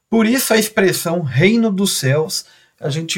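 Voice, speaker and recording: His pitch makes very wide swings. The man's delivery is fairly slow. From Brazil, Minas Gerais (Belo Horizonte). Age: 40s. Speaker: Anglican layman, agronomist giving Bible reflection. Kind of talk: Bible reflection talk.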